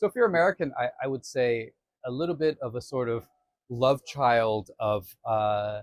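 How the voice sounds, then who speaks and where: Dry and close with no echo, a plain, everyday voice belongs to a man at medium pitch who speaks at a moderate pace with lively intonation. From Canada. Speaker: defense alliance official. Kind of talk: conversational interview. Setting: conference venue.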